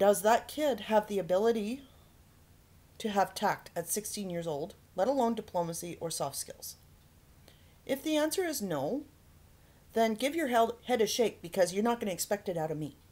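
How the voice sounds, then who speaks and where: Using an Albertan accent, a woman of medium pitch and dark, mellow tone speaks at a moderate pace with very wide pitch swings and long, frequent pauses. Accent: Canadian (Alberta). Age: 40s. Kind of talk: personal vlog monologue. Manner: hesitant with many fillers; forceful, can sound aggressive.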